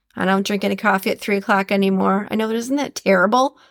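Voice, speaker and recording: A woman with a Minnesotan accent speaks at a fairly quick pace and medium pitch with a warm, upbeat tone. The sound is dry and close with no echo, on a very clean recording with a silent background. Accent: Minnesotan Midwestern. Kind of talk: podcast monologue with quote reading. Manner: warm, upbeat, conversational.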